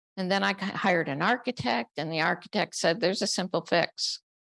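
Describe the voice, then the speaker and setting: A woman speaks at a moderate pace in an American accent, her fairly low voice bright and sharp in tone with vocal fry, recorded dry and close with no echo against a quiet background. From Upstate New York. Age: 70s. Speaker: family caregiver. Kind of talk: panel talk.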